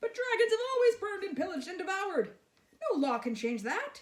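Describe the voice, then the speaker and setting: A squeaky, put-on character voice at an extremely high pitch, racing along at a very fast pace with very wide pitch swings. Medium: read story. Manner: boastful.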